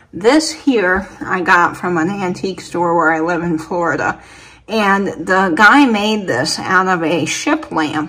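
With lively intonation, a woman delivers her words at a fairly slow pace. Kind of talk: casual vlog chat. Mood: enthusiastic. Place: home room. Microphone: phone near.

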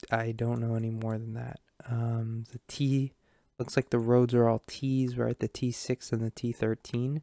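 A man speaks at a fairly slow pace with monotone, flat intonation. The sound is dry with no echo over a quiet background. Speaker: gamer streamer. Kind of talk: gameplay commentary.

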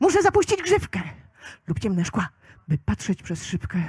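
A woman's voice comes across somewhat breathy, with a dark, mellow tone. The sound is dry and close, with no echo. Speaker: slam poet. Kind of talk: poetry slam performance. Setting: live outdoor event.

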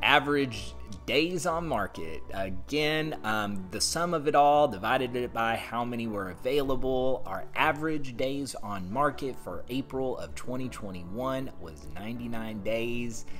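Faint music sits in the background. A man speaks at a fairly slow pace. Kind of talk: market update commentary. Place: home room. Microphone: phone near.

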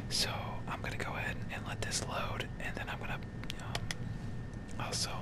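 Over loud background noise, a man speaks at a moderate pace. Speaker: ASMR content creator. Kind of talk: casual talk to camera, gaming commentary. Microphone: studio mic.

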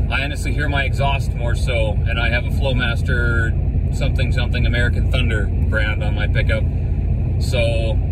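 A man speaking over loud background noise. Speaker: driver reviewing tires. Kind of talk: casual vlog chat. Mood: relaxed, pleased. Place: car. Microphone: phone near.

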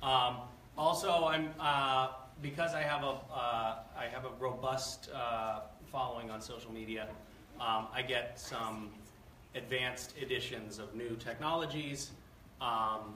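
A man at a moderate pace with ordinary pitch variation and big swings in loudness, amid audible room echo and light background noise. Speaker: guest. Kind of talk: lecture. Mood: playful, joking. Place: hall. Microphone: camera far.

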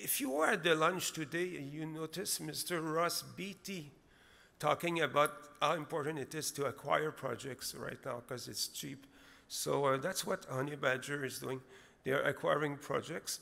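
This man talks at a moderate pace with ordinary pitch variation and some vocal fry. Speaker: presenter. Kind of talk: conference presentation. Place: hall. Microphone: podium.

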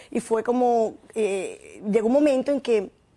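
A woman's dark, mellow tone carries fairly even intonation. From Venezuela. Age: 50s. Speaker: former vice minister and fitness promoter; former vice minister. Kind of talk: interview. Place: studio. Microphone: lapel.

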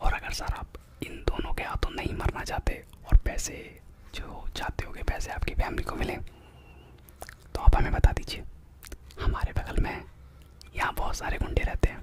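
A man whispers, soft-spoken, at a fairly slow pace with long, frequent pauses. Loud noise fills the background. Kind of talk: comedic role-play phone call. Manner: soft whispered roleplay talk. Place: home room. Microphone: studio mic.

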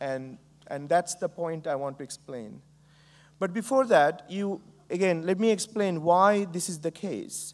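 This man has a high pitch and ordinary pitch variation. He speaks at a fairly slow pace. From Bangladesh. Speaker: entrepreneur and professor. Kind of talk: keynote speech. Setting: stage with audience. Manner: frequent fillers, hesitant. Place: stage.

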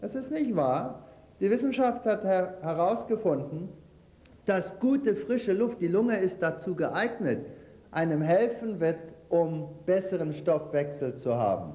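A high-pitched man with lively intonation at a fairly slow pace. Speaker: lecturer on health and nutrition; lecturer on health. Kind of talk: lecture with cooking demonstration. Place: hall.

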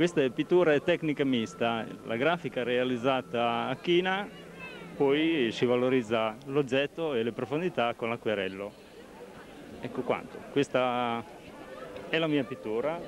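Speaking at a fairly slow pace, a man leaves long, frequent pauses. His pitch varies in an ordinary way over light background noise. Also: dry sound with no echo. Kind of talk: interview answer. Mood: modest, slightly shy. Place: market. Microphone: handheld.

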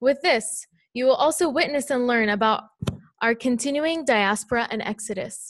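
Dry with no echo over a quiet background, a woman's high voice shows ordinary pitch variation. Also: moderate pace. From Palestine, Bethlehem; Palestine. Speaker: student; speaker. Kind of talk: prepared response. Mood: earnest, measured. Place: hall. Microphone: podium.

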